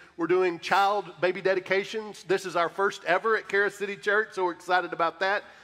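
Against a quiet background, a man speaks in a raised, projected voice with a bright, sharp tone, flat monotone intonation, a fairly quick pace and hardly any pauses. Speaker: pastor. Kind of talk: church announcements. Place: church.

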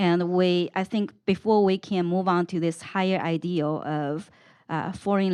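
A woman at medium pitch and a fairly slow pace. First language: not English. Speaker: panelist. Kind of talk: panel discussion.

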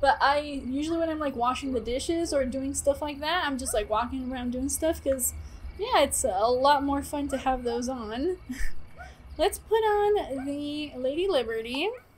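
Over light background noise, a woman talks at a moderate pace with a high pitch and lively intonation. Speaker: game streamer. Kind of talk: casual stream chat and commentary. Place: home room.

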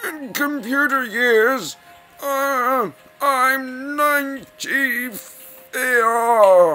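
A high-pitched, put-on character voice speaks with faint music in the background. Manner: wry, deadpan.

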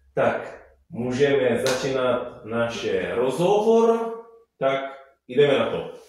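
A man speaks at a very slow pace amid strong room echo and light background noise. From Italy. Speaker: musician and Italian teacher. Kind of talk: interview answer. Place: home room.

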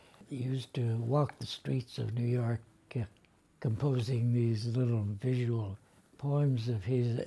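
With an American accent, the speaker goes at a fairly slow pace in a somewhat breathy, dark, mellow tone with fairly even intonation. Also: man. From United States. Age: 80s+. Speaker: poet. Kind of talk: interview answer. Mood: reflective, moved.

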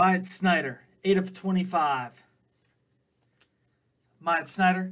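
A man speaks in a high pitch. The background is quiet. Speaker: card breaker host. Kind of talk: live stream commentary. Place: studio.

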